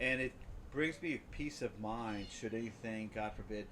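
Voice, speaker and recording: He talks at a moderate pace and a medium pitch. This man has a plain, everyday voice. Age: 60s. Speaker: home care business owner. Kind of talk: casual conversation.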